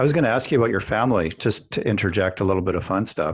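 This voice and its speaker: A man with a Canadian accent speaks at a fairly low pitch with ordinary pitch variation. The background is quiet. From Canada. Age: 50s. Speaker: podcast host. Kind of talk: casual chat.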